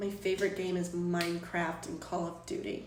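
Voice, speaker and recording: Over noticeable background noise and audible room echo, a woman talks at a medium pitch in an animated tone. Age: 20s. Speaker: live streamer. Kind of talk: casual chat. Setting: live stream from home.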